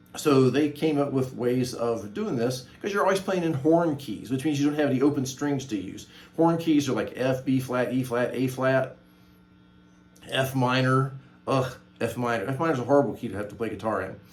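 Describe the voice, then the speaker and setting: At a moderate pace, a man of medium pitch speaks with ordinary pitch variation and audible room echo. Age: 60s. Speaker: guitar teacher and channel host. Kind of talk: tutorial. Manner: casual, hesitant with many fillers.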